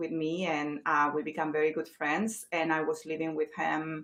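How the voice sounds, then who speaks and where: A woman in a Chilean accent speaks at a moderate pace, her fairly low pitch following fairly even intonation. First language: Spanish. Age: 40s. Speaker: real estate agent. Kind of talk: interview. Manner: hesitant, many fillers.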